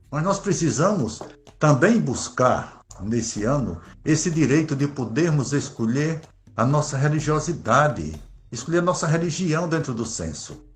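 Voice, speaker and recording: With vocal fry and lively intonation, a man with a fairly high pitch speaks fairly slowly amid audible room echo. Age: 60s. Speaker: Afro-Brazilian religious leader. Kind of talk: interview.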